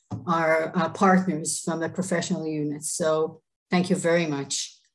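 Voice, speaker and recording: In an Israeli accent, a woman speaks at a moderate pace with fairly even intonation. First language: Hebrew. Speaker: government official. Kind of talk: presentation. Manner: halting.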